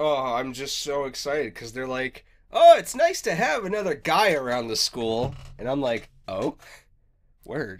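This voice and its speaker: On a very clean recording with a silent background, a man with a normal speaking voice talks at a fairly slow pace with lively intonation. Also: fairly high pitch for a man. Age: 20s. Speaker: podcast co-host. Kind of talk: casual chat.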